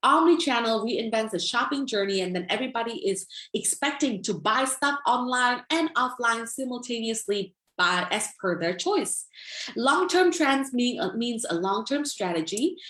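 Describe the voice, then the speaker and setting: A woman with an American accent speaks at a moderate pace in a high, bright and sharp voice, her pitch swinging very widely. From US Midwest, Minnesota. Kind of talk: lecture.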